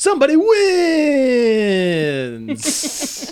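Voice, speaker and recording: A put-on character voice speaks with a high pitch. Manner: real serious.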